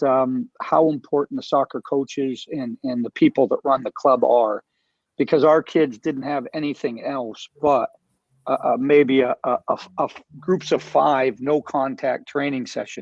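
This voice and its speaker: Speaking at a fairly slow pace, a man has an unremarkable speaking voice. His pitch is fairly high. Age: 60s. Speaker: youth soccer club director. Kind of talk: panel discussion.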